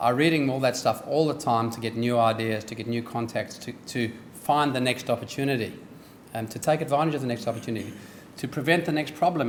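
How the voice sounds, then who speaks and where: A man at a very fast pace with a slight South African accent, medium pitch and ordinary pitch variation. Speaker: business executive, guest speaker. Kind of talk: speech. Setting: dinner event with audience. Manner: hesitant with frequent ums.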